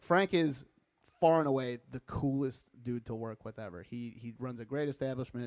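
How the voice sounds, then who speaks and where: A man has a plain, everyday voice, keeping a medium pitch, a moderate pace and ordinary pitch variation. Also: big swings in loudness. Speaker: comedian and show producer. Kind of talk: casual chat over beers.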